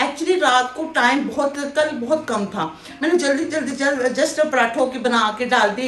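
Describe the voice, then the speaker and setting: A woman with a high pitch, amid noticeable background noise and audible room echo. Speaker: cooking vlogger. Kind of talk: casual cooking vlog chat. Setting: home kitchen.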